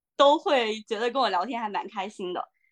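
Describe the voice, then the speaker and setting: A woman speaks with lively intonation. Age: 20s. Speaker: dating show participant, HR worker. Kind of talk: casual chat.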